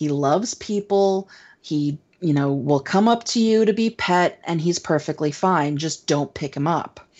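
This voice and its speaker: At a fairly slow pace, a woman in a plain, everyday voice speaks with fairly low pitch and lively intonation. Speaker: podcast co-host. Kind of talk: casual chat.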